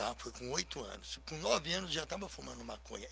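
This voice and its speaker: A man talks at a fairly quick pace. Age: 60s. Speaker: recovered addict and anti-drug speaker. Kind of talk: radio talk show interview.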